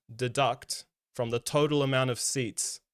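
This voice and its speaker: With a New Zealand accent, the speaker uses fairly even intonation. The sound is dry and close with no echo, and the recording is very clean with a silent background. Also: man. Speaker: political stream co-host. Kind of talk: casual political discussion. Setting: live stream.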